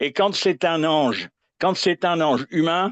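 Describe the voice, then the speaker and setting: Very slowly, a man speaks in a dry, close sound with no echo and a quiet background. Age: 80s+. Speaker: viewer calling in to a live astrology show. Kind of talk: casual chat. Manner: halting.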